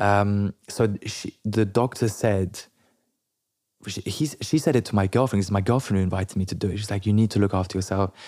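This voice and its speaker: In a very clean recording with a silent background, a man with a French accent speaks at a moderate pace, his fairly low voice dark and mellow in tone. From London. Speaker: entrepreneur. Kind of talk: interview.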